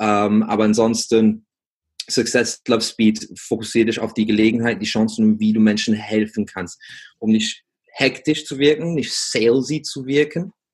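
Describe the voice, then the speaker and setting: Using ordinary pitch variation, a man speaks at a medium pitch. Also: moderate pace. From England. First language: English (speaking German). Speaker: business coach for gym owners. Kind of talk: interview. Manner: halting, many fillers.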